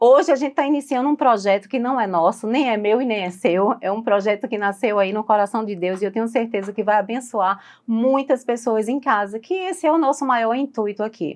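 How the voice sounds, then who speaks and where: A woman talks at a moderate pace with a fairly high pitch. It is a normal speaking voice, with ordinary pitch variation. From Recife, Brazil. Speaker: podcast host. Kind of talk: podcast interview.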